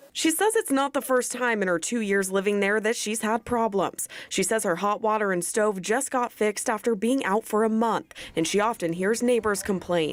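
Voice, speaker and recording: A woman with an American accent speaks in an unremarkable speaking voice, fairly high in pitch, at a moderate pace. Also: ordinary pitch variation. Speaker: TV news reporter. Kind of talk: field report voiceover and on-scene questioning.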